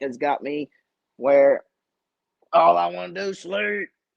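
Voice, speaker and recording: Recorded with a dry, close sound and no echo, a man with an Appalachian accent speaks at a fairly high pitch with very wide pitch swings. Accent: Southern US (Appalachian). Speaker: fishing channel host and tackle maker. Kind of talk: live stream Q&A chat. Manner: casual, chatty.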